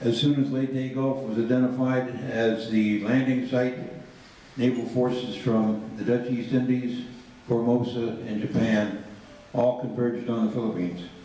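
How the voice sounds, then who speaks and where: A man speaks at medium pitch with monotone, flat intonation. Audible room echo and noticeable background noise surround him. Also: moderate pace. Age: 80s+. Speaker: reunion speaker on naval history. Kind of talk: speech to veterans with slides.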